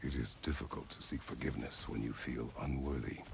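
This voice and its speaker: Using a put-on character voice with very deep, low pitch, a man speaks in a solemn tone at a fairly quick pace over clear background noise. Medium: video game. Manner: terse, solemn.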